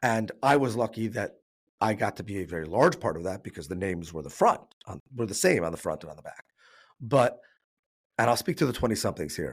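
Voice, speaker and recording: A man with a fairly low pitch and an American accent talks at a very fast pace, with very wide pitch swings, big swings in loudness, and long, frequent pauses. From New York. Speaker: business owner, risk advisor. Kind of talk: podcast interview.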